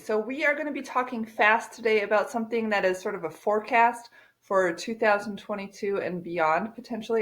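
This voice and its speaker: At a fairly quick pace, an unremarkable speaking voice moves with ordinary pitch variation. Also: woman. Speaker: real estate agent. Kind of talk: casual to-camera talk.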